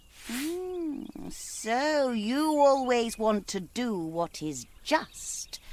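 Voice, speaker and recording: A put-on character voice, high in pitch, at a very slow pace with hardly any pauses. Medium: video game. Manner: speaks in rhyme, sweetly coaxing.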